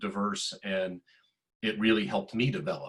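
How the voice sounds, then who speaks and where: An unremarkable speaking voice comes from a man with an American accent. His pitch is fairly low and his pace fairly quick. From US South, middle Georgia. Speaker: tech executive. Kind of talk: panel discussion.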